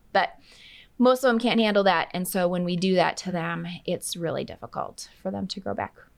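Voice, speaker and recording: A woman with an American accent has a normal speaking voice at a medium pitch. She talks at a moderate pace with ordinary pitch variation. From Minnesota. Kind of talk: interview.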